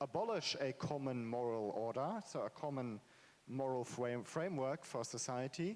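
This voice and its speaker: Here a man talks at a moderate pace. His pitch is fairly high, with ordinary variation. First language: not English. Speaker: author, panel speaker. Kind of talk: panel discussion. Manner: halting, many fillers.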